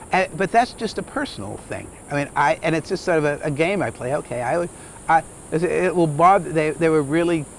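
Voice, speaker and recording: A man talks with ordinary pitch variation at a moderate pace, and noticeable background noise is present. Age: 70s. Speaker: lodge owner. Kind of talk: interview. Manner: halting.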